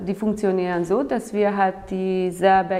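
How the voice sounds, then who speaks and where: Against noticeable background noise, a woman with a Hungarian accent speaks at a fairly low pitch with fairly even intonation. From Hungary. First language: Hungarian (speaking German). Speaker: outdoor trainer. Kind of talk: interview.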